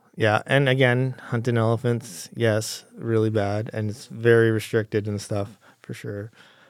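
A man with an ordinary speaking voice and a Canadian accent talks at a fairly slow pace with hardly any pauses, at a medium pitch and with fairly even intonation. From Calgary, Alberta, Canada. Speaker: cameraman and video editor. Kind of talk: casual interview chat.

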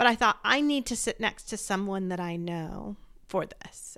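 This woman has a plain, everyday voice, pitched in the medium range with ordinary pitch variation. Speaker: podcast host, bereaved mother; pediatric healthcare worker. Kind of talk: interview.

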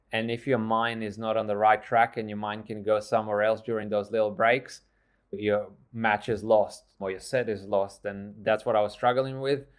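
At a moderate pace, a man with a fairly low pitch speaks in a flat monotone against a quiet background. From Australia. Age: 30s. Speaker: trail runner, coach and entrepreneur. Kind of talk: interview.

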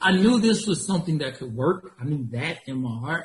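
With an American accent, this man speaks at a fairly high pitch, his intonation lively and his voice somewhat breathy. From Georgia, US (small town near Atlanta). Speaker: staffing agency founder. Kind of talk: interview.

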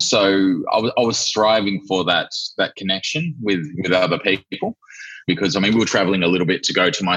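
Man with an Australian accent, very deep and low in pitch yet bright and sharp in tone, at a fairly quick pace. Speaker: entrepreneur. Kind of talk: interview.

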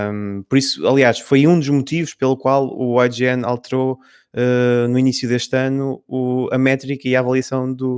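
In a dry, close recording with no echo, a man speaks at a medium pitch. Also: very clean recording, silent background. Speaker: video game editor. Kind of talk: casual panel discussion.

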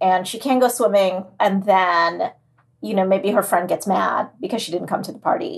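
This woman has a medium pitch with vocal fry. Her pitch variation is ordinary. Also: moderate pace. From Trinidad. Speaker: children's author. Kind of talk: reading aloud. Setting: video call from home office.

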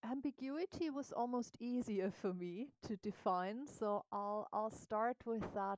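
A woman with a normal speaking voice, fairly high in pitch with ordinary pitch variation, at a fairly slow pace with hardly any pauses, in a dry, close sound without echo. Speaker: coach and consultant. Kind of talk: interview conversation.

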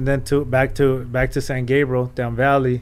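At a moderate pace, a man speaks in an unremarkable speaking voice at a fairly high pitch. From Mexico, raised in Los Angeles area. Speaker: photographer and entrepreneur. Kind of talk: long-form interview.

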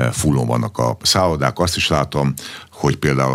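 Noticeable background noise sits behind this recording. A man speaks at a very deep, low pitch. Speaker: sports federation president. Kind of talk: radio interview.

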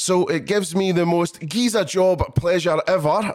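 A man talks fairly slowly while music plays behind him. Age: 40s. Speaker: podcast host. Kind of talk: casual interview; scripted outro.

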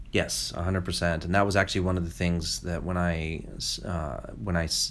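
This man's pitch is very deep and low. Vocal fry runs through his voice. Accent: American. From New York, US. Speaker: children's novelist. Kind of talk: interview. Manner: halting, many repetitions.

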